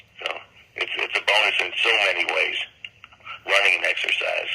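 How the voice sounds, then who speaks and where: A man's moderately paced speech, with an American accent and noticeable background noise. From Miami Beach, Florida. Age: 70s. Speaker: songwriter and streak runner. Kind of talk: interview. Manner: halting.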